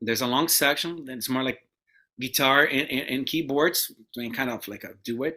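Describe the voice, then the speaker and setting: Heard on a very clean recording with a silent background, a bright, sharp tone carries a Portuguese accent at a moderate pace. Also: man. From Brazil. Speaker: guitarist. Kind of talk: interview. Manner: halting.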